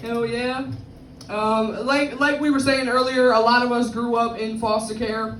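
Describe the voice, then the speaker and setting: Speaking slowly-ish in a fairly high, flat monotone with an American accent, a woman is heard with audible room echo and noticeable background noise. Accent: Bronx accent from interracial family. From New York, the Bronx. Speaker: stand-up comedian. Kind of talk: stand-up. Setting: stage with audience.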